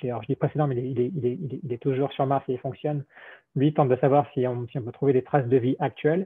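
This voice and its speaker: A man speaks at a medium pitch with fairly even intonation. The background is quiet. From France. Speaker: robotics engineer; presenter. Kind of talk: technical presentation. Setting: video call. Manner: halting, many repetitions. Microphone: video call.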